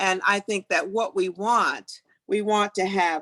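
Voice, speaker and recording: A woman talks at a very slow pace in a medium pitch. The sound is dry and close, with no echo. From US South. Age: 70s. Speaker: county council member. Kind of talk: speaker Q&A. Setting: video call.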